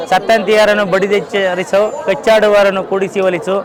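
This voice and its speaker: A man talks in a high voice. Crowd noise can be heard behind him. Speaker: festival visitor. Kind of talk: street interview.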